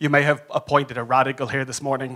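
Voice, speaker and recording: An animated, raised and projected man's voice with an Irish accent, bright and sharp in tone, at a fairly quick pace. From Ireland. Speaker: advocacy consultant and conference speaker. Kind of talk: conference talk. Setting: stage with audience.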